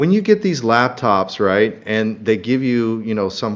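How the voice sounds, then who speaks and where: A man's medium-pitched, ordinary speaking voice at a moderate pace. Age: 40s. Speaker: crypto channel host. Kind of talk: live stream market analysis.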